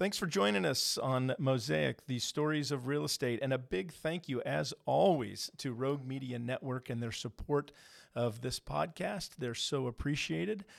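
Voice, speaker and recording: On a very clean recording with a silent background, a man at a medium pitch speaks at a moderate pace with lively intonation and hardly any pauses. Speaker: podcast host and mortgage broker. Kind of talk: interview. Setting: studio. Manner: animated, enthusiastic.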